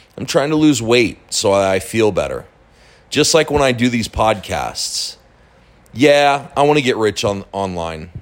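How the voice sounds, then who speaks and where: A man uses an ordinary speaking voice at medium pitch. His pace is fairly slow, and his intonation is lively. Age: 40s. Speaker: online marketing podcaster. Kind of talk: casual monologue. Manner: casual, with fillers and repetitions.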